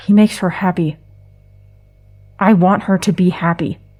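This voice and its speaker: A woman's put-on character voice at medium pitch and moderate pace, in a very clean recording with a silent background. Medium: audio drama. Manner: terse, flat.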